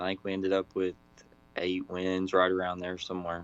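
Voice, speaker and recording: Here is a man with an American accent. His pitch is very deep and low. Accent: own accent, said to talk slow. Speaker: modified race car driver. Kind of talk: casual interview.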